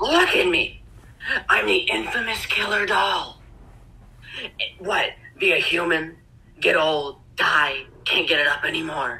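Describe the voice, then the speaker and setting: Raspy and middle in pitch, a put-on character voice moves at a fairly slow pace with long, frequent pauses. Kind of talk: amateur voice acting practice. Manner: sneering, mocking.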